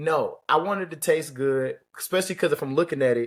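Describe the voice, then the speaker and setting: The man has an ordinary speaking voice, fairly high in pitch, with ordinary pitch variation. He keeps a moderate pace in a very clean recording with a silent background. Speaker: podcast co-host. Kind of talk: casual chat.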